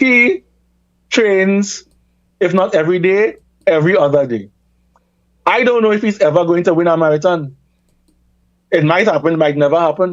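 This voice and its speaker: A man with a Trinidadian accent at a high pitch, moderate pace, very even loudness, ordinary pitch variation and long, frequent pauses. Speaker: reparations campaigner and academic. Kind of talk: radio talk show interview.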